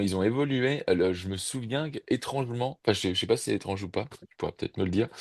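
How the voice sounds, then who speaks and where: Speaking at a very fast pace, a man with a medium-pitched voice makes big swings in loudness. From Burgundy, France (Mâcon). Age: 60s. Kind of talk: casual chat. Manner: halting, many hesitations.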